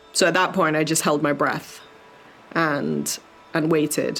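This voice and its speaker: Against noticeable background noise, a woman with a very deep, low pitch talks at a moderate pace in a monotone, flat intonation. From Jamaica and UK. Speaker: Paralympic sailor. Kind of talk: interview testimony.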